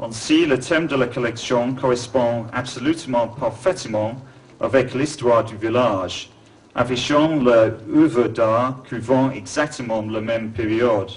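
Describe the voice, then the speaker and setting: A man with a strong English accent talks at a very slow pace. His voice sits at a medium pitch with fairly even intonation. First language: English (speaking French). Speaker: museum founder and art collector. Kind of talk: formal speech.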